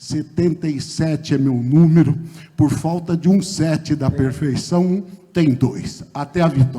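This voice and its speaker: A man with an unremarkable speaking voice, fairly high-pitched, with fairly even intonation and a fairly slow pace. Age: 60s. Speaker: mayoral candidate, lawyer. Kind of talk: political debate closing statement. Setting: theatre stage with audience, broadcast on radio.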